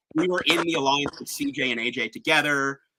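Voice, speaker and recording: A man talks at a fairly high pitch. The sound is dry and close, with no echo. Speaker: online game finalist. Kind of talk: casual chat. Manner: fast.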